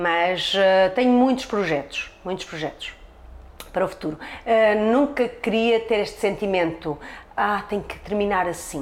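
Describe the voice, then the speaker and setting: A woman with a medium pitch speaks in an animated tone at a fairly slow pace, with ordinary pitch variation. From Portugal, Trás-os-Montes. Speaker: hairdresser. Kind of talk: interview.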